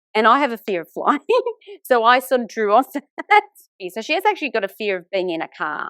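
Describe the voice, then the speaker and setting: A woman with an Australian accent talks at a fairly quick pace in a bright, sharp tone with lively intonation and big swings in loudness. The sound is dry and close, with no echo. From Sydney, Australia (Italian migrant family). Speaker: author and teacher. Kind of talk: podcast interview.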